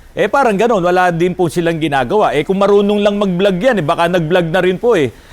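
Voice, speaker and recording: High male speech against noticeable background noise. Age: 50s. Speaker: auto repair shop owner and vlogger. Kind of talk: casual vlog talk. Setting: auto repair shop.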